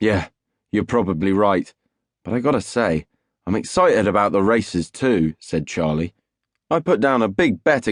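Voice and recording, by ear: Against a quiet background, the passage is read aloud in a natural voice.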